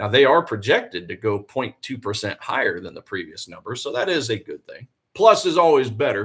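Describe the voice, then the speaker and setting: A man with a Southern US accent at a moderate pace. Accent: Southern twang. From US South, Tennessee. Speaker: forex trader and live streamer. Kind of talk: live trading stream commentary. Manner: casual, conversational.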